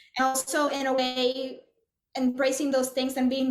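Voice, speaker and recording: A woman speaks in a high voice, with audible room echo around her. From Puerto Rico. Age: 40s. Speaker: composer. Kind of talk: interview conversation. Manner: halting, many fillers and restarts.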